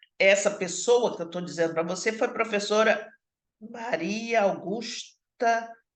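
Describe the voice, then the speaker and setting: This woman's voice sits fairly high, with ordinary pitch variation, and she talks at a fairly slow pace. Room echo is audible around her. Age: 60s. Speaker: social work professor. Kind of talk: online lecture. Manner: halting, with many fillers and repetitions.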